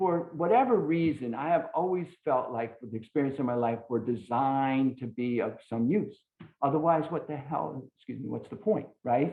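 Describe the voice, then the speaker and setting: The pace is moderate, and the pitch varies in an ordinary way. It is an unremarkable speaking voice. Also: man, fairly high pitch for a man. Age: 60s. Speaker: recovery speaker. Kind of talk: testimony.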